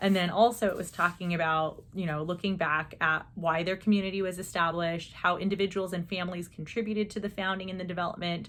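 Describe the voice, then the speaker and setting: A woman with a fairly low pitch speaks at a fairly quick pace in a monotone, flat intonation. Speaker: teacher. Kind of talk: casual chat. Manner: fast.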